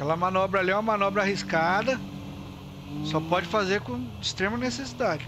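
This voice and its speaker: Against noticeable background noise, a man with a high pitch and lively intonation talks at a fairly quick pace, broken by long, frequent pauses. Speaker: live streamer and roleplay gamer; live streamer, roleplay gamer. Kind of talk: casual live-stream gameplay chat. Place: home room.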